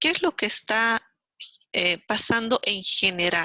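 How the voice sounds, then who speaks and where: Bright and sharp in tone, the voice comes through with a dry, close sound and no echo. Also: woman. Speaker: university lecturer. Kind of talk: lecture. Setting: video call. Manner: animated.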